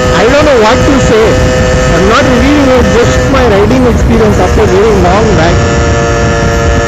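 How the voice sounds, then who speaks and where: A man talks over loud music playing in the background. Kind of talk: casual vlog chat. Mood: excited, enjoying the ride. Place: motorbike.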